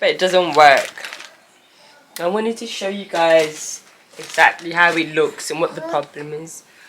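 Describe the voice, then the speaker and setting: Long, frequent pauses from a woman with a fairly low pitch, ordinary pitch variation, big swings in loudness and a fairly slow pace, over noticeable background noise. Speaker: deaf vlogger with cochlear implant. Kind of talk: casual vlog chat. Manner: speaks differently to feel own voice vibration.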